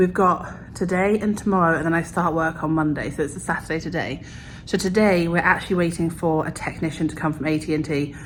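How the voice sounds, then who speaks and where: Talking at a very fast pace, a woman keeps a fairly low pitch and fairly even intonation. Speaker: vlogger. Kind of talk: casual vlog talk.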